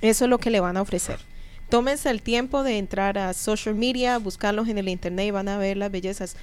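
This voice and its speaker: In a normal speaking voice, the speaker talks at a fairly quick pace with fairly even intonation. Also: woman, medium pitch for a woman. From Colombia. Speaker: radio host and business coach. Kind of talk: interview. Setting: studio.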